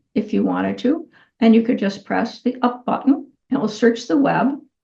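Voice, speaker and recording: The woman's voice is fairly high in pitch, with a dark, mellow tone and vocal fry. She talks at a moderate pace. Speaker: tech tutorial host. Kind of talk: tutorial. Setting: screen-share video recording. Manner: casual, conversational.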